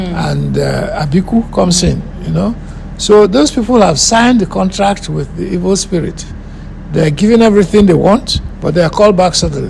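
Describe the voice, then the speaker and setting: A man's speech comes at a moderate pace, with background noise that is noticeable. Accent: Nigerian. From Nigeria. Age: 70s. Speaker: filmmaker and musician. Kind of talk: interview.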